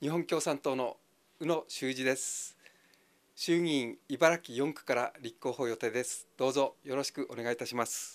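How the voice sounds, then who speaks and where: With fairly even intonation, a man speaks at a moderate pace in a fairly high pitch. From Ibaraki, Japan (Hitachiota); Ibaraki. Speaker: election candidate. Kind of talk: campaign speech. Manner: halting. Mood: friendly, smiling, earnest. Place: empty room. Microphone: handheld.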